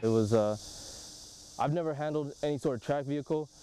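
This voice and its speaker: Dark and mellow in tone, a man speaks fairly quickly in a dry sound with no echo, with light background noise. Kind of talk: interview answer. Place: open country.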